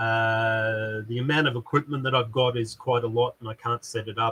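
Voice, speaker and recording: Loud and bright with a sharp tone, a man talks at a fairly slow pace in a medium pitch with monotone, flat intonation and a dry, close sound with no echo. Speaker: YouTuber and maker, hi-fi salesman. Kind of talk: casual live stream chat. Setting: live stream in a shed. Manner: halting, many fillers.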